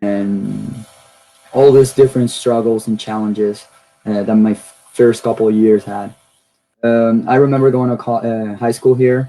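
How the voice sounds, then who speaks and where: With a Spanish accent, a man speaks at a fairly slow pace in a medium pitch with monotone, flat intonation. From Venezuela (Caracas). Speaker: university student. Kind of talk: personal testimony talk.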